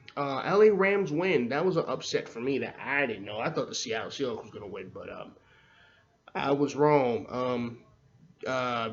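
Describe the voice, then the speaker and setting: With lively intonation and big swings in loudness, a man of fairly high pitch speaks amid audible room echo. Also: moderate pace. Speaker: sports podcast host. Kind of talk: sports recap podcast. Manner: stuttering; casual, filler-heavy.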